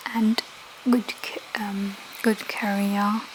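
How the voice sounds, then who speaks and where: The speech is soft-spoken and very slow. Noticeable background noise sits behind it. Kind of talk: ASMR soft-spoken talk to camera. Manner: soft-spoken, slow.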